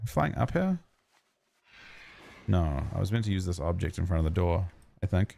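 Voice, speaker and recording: This man has a very deep, low pitch and a dark, mellow tone. He keeps very even loudness and fairly even intonation, with long, frequent pauses. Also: moderate pace. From New Zealand. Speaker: streamer. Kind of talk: gaming livestream chat. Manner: casual, halting.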